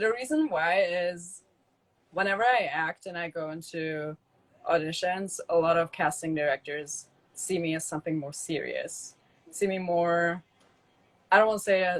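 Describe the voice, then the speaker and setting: At a moderate pace, a woman with a fairly low pitch and ordinary pitch variation talks with long, frequent pauses. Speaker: model, actress and stand-up comedian. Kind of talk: casual interview. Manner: halting, many fillers.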